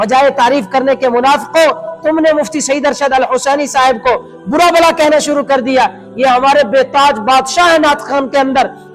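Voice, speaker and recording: A man's extremely high voice at very even loudness, with ordinary pitch variation and music in the background. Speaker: religious cleric. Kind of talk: religious talk to camera.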